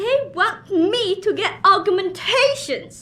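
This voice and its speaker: A woman puts on a character voice, speaking very slowly at an extremely high pitch with lively intonation. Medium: video game.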